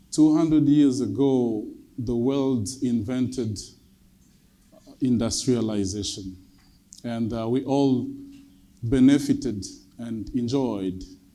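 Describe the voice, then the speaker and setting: In a Congolese accent, the voice carries a dark, mellow tone at a very slow pace with fairly even intonation and audible room echo. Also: man. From Democratic Republic of the Congo. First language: French. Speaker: government climate advisor. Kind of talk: conference speech. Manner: formal.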